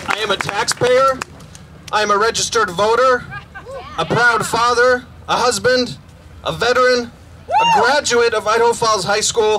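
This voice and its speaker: Over crowd noise, a man projects a raised voice at an extremely high pitch, moving at a moderate pace with fairly even intonation, very even loudness and long, frequent pauses. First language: not English. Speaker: community member, veteran. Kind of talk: rally speech read from notes. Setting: outdoor rally with crowd.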